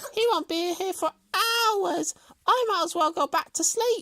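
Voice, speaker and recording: A squeaky, put-on character voice at an extremely high pitch and moderate pace. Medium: read story. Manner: boastful, mocking.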